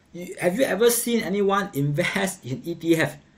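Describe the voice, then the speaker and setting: Lively intonation runs through the speech of a man with a Singaporean accent. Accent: Singaporean English (Singlish). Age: 40s. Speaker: investing livestream host. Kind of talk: casual livestream commentary on markets. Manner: casual, conversational with filler words. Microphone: webcam.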